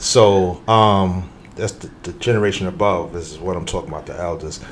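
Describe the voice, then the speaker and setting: Room echo is audible as a man speaks with a very deep, low pitch and fairly even intonation. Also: moderate pace. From New York, Harlem. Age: 50s. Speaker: youth program developer and entrepreneur. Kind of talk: podcast interview conversation.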